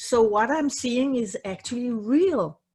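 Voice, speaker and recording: Against a quiet background, a woman with a non-native accent speaks at a fairly slow pace, her fairly high pitch carrying lively intonation. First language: not English. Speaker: psychotherapist. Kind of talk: casual chat. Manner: halting.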